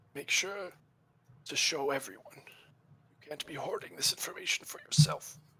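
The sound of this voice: Using a put-on character voice, a man sounds raspy and fairly high-pitched. He speaks at a moderate pace.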